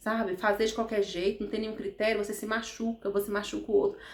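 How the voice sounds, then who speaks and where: A woman's animated, fairly high-pitched voice at a very fast pace. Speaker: therapist vlogger. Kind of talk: motivational talk to camera.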